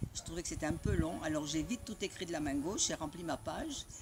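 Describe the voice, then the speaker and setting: A woman speaks in a very deep, low pitch. She has an Italian accent. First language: Italian (speaking French). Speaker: spiritual community member sharing memories. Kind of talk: personal storytelling. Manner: halting.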